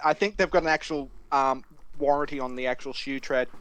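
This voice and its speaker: Fairly high-pitched, a man talks with fairly even intonation. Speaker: tabletop game player. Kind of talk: casual chat. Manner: loud.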